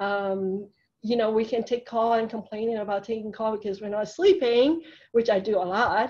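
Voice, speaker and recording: A woman with a Hong Kong accent speaks at a fairly high pitch. Her pace is moderate, and the background is quiet. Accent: Hong Kong Chinese accent in English. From Hong Kong, moved to US as immigrant. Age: 50s. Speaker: surgeon. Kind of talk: interview talk about career. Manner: many fillers (um, uh).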